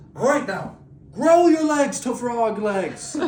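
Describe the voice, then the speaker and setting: Over an audible echo, a man does a put-on character voice at an extremely high pitch and a fairly slow pace. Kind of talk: comic improvised storytelling. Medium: solo performance. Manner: cheerfully oblivious.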